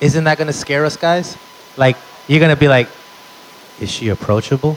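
With noticeable background noise behind him, a man speaks in an animated tone at a fairly high pitch, with ordinary pitch variation and long, frequent pauses. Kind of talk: stand-up comedy set. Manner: animated, punchy storyteller with crowd-work asides; profane and excitable, exaggerated bits.

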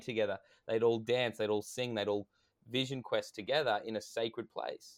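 At a fairly quick pace, a man with an unremarkable speaking voice talks at medium pitch. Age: 30s. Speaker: men's coach and event organiser. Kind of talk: casual chat. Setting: video call.

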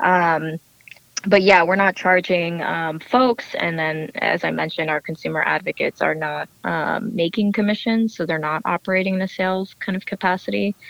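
A woman with an American accent and a fairly low pitch, at a moderate pace with ordinary pitch variation, in a dry, close sound with no echo, plus noticeable background noise. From New Jersey, US. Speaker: startup co-founder. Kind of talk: interview.

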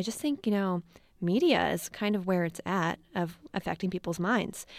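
This is an ordinary speaking voice with an American accent and ordinary pitch variation. The recording is very clean, with a silent background. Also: woman. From US East Coast (Maryland). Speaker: documentary filmmaker. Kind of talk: interview. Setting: studio.

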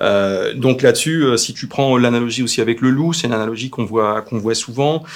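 A man talks at a fairly quick pace with hardly any pauses, using a plain, everyday voice at medium pitch with ordinary pitch variation. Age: 40s. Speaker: pet food company founder. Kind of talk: live Q&A interview. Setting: Facebook live stream.

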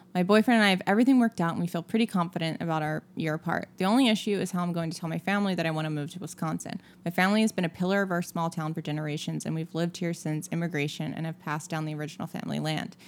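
Over music in the background, a woman speaks very fast in a fairly low voice. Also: ordinary pitch variation. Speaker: podcast co-host. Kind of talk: casual chat.

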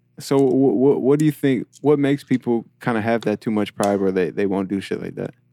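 In an American accent, a man speaks quickly at a medium pitch, his dark, mellow tone carrying ordinary pitch variation in a dry, close sound with no echo. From New York. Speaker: podcast host. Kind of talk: interview. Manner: halting.

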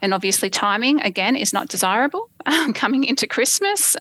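A woman speaks fairly quickly with an Australian accent. The sound is dry and close, with no echo. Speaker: property investor guest. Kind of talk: interview, telling own story.

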